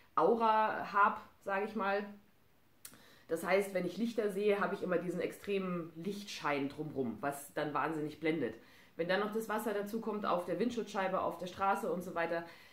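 A woman speaks with ordinary pitch variation. The room echo is audible. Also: moderate pace. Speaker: vlogger. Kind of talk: casual vlog chat. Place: home room. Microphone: camera far.

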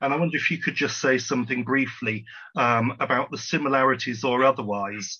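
Behind a quiet background, the talking proceeds at a moderate pace. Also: man. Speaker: audience member asking questions; audience member. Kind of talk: audience Q&A. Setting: video call. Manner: formal. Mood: polite, thoughtful. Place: home room. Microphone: video call.

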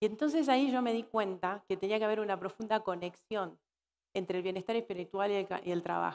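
At a moderate pace, a woman speaks at medium pitch with ordinary pitch variation. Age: 40s. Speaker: keynote speaker on workplace wellbeing and purpose coaching; keynote speaker, purpose coaching. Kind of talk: conference keynote talk. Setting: stage with live audience at a corporate congress. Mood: warm, reflective. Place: stage.

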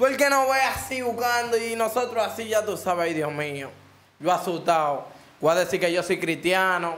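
With a Dominican accent, a man talks at a moderate pace in a high voice with lively intonation. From Dominican Republic. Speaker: rapper; interview guest. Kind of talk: casual interview. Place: studio. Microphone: studio mic.

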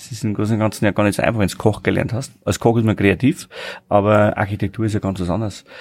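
A man's fairly low, slightly mellow voice, fast with few pauses and fairly even intonation

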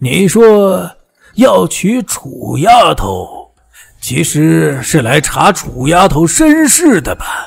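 A man uses a put-on character voice at a fairly high pitch with big pitch swings and a slow pace. A slightly husky edge and vocal fry run through it.

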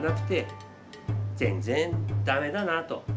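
Speech with lively intonation moves at a fairly slow pace while clear music plays in the background. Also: man. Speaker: cafe bar owner. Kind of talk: casual talk to camera. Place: bar. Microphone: camera far.

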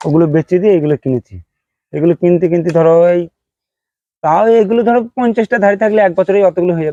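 Dark and mellow, the tone carries through. There is no echo, and the sound is dry and close. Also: man, high pitch for a man, ordinary pitch variation. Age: 40s. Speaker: sheep farmer. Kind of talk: casual interview answers.

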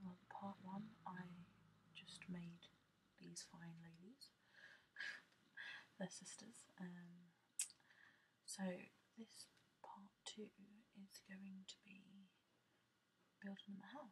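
Whispering and soft-spoken, a woman talks very slowly and somewhat breathily, with long, frequent pauses and noticeable background noise. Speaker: ASMR gaming YouTuber. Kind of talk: casual gameplay tutorial narration. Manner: soft-spoken, whispery.

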